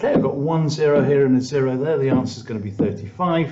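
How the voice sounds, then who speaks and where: Amid noticeable background noise and audible room echo, a man's medium-pitched voice moves with lively intonation. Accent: British. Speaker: maths teacher. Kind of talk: tutorial.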